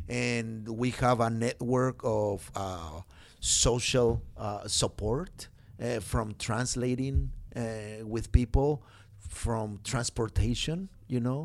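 In a very clean recording with a silent background, a man with a Spanish accent speaks very slowly at a medium pitch with ordinary pitch variation. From Mexico. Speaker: pastor and immigrant rights organizer. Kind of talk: interview. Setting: studio. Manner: halting.

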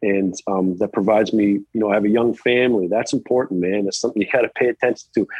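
A man talks at a very fast pace. There are hardly any pauses, and his intonation stays fairly even. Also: fairly low pitch for a man, very even loudness. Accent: American. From Virginia, US (just west of Charlottesville). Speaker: college tennis head coach. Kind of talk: interview.

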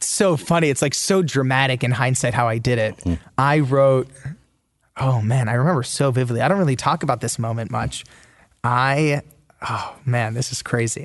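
In an ordinary speaking voice, a man talks at a moderate pace, medium in pitch with ordinary pitch variation. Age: 20s. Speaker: author. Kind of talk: interview.

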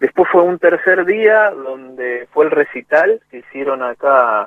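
A man speaks with an Argentine accent. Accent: Rioplatense Argentine Spanish. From Argentina, Greater Buenos Aires (Lanús, Monte Grande). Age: 40s. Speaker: music producer and percussionist. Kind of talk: radio interview.

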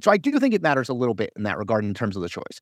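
A man with an American accent is heard on a very clean recording with a silent background, the sound dry and close with no echo. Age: 40s. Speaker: political journalist and commentator. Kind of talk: casual chat.

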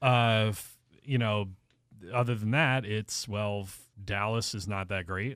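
On a very clean recording with a silent background, a man with an unremarkable speaking voice and an American accent talks at a fairly slow pace, his fairly low pitch held in fairly even intonation. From southeastern Pennsylvania. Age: 30s. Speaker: sports podcast panelist. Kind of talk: casual chat. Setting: studio.

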